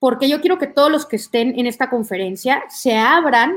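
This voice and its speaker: A woman with an unremarkable speaking voice, moderate pace and ordinary pitch variation. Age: 30s. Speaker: motivational speaker and content creator. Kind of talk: online talk.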